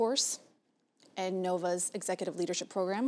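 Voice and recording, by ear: With an American accent, a woman talks at a fairly quick pace in a fairly low, slightly mellow voice that shows little pitch movement.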